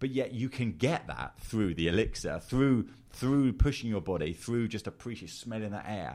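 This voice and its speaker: A man with a fairly low pitch talks at a moderate pace with hardly any pauses. His intonation is lively. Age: 40s. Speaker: agency founder and podcaster. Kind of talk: casual chat. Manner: animated; halting.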